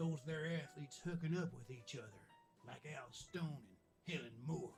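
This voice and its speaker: Putting on a character voice, a man speaks at a fairly high pitch with lively intonation. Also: moderate pace. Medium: video game.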